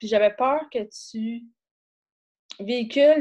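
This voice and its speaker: A woman's dark, mellow tone, fairly high in pitch, with a Quebec accent and fairly even intonation. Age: 50s. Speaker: author. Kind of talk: casual interview. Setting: video call.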